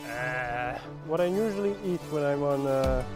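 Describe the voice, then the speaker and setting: Over clear background music, a man speaks in a dry sound with no echo. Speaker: bikepacking vlogger. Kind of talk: casual vlog chat. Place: forest. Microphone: phone near.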